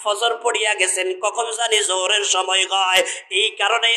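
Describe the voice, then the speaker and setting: This man talks in a raised, projected voice that sits high for a man. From Bangladesh, Noakhali. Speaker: Islamic preacher. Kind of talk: sermon. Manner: animated, calls for audience response.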